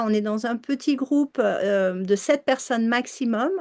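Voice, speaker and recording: A woman's high-pitched voice at a fairly slow pace, with ordinary pitch variation and a quiet background. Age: 60s. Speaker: emotional release coach. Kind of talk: live online coaching session and sales pitch. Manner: hesitant, many fillers.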